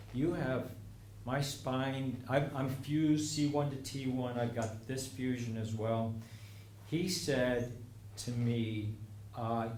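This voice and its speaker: With noticeable background noise and audible room echo, the speech has fairly even intonation. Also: man. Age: 70s. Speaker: community elder telling life stories. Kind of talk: personal talk to audience. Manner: hesitant, many fillers.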